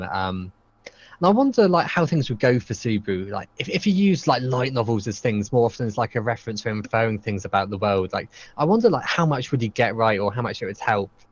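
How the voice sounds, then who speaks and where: With a British accent and a fairly low pitch, a man talks at a very fast pace with hardly any pauses and ordinary pitch variation. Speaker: podcast host. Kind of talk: casual chat. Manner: halting, many ums and ahs.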